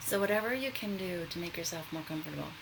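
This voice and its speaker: Background noise is noticeable throughout. The talking moves along at a fairly quick pace. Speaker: meditation guide. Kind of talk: guided meditation.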